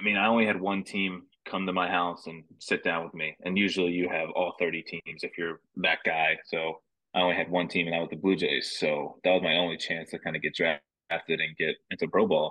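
With an American accent, a man talks at a moderate pace in a very deep, low pitch and a monotone, flat intonation. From New Jersey. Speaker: professional baseball player. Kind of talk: casual interview.

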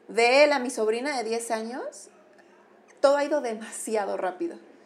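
A woman speaks at a fairly slow pace with a fairly high pitch. She has an unremarkable speaking voice. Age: 30s. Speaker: clinical psychologist. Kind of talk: casual interview.

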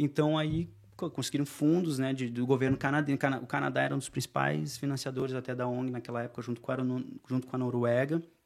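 Talking at a very fast pace, a man keeps his intonation fairly even. His pitch sits in the medium range. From southern Brazil, Porto Alegre. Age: 30s. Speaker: expatriate NGO worker. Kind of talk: casual chat.

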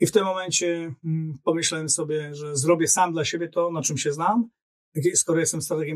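A man talks at a fairly quick pace, his pitch fairly high, with ordinary pitch variation. He has a plain, everyday voice. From Poland, Olsztyn. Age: 50s. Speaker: LinkedIn coach and business strategist. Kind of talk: casual interview chat.

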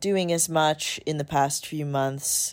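The recording is very clean, with a silent background. The pace is very slow. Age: 20s. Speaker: podcast guest, recent engineering graduate. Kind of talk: casual chat.

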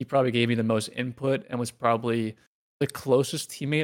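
The man has a normal speaking voice with a medium pitch. He speaks at a fairly quick pace with fairly even intonation. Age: 20s. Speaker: retired pro gamer. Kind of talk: casual interview.

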